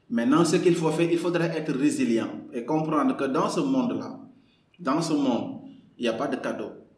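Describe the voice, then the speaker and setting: With audible room echo, a man talks at a moderate pace in a high pitch, his voice swinging very widely up and down. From Senegal, Kaolack. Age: 30s. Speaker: novelist and lawyer. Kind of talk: podcast interview. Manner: halting, many repetitions.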